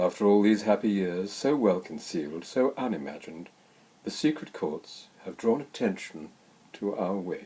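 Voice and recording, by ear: Reading aloud in a natural voice, the intonation lively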